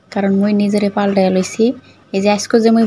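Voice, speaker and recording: Noticeable background noise is present. Over it, a woman talks at a medium pitch. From Madaripur, Bangladesh. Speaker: vlogger. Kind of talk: cooking vlog.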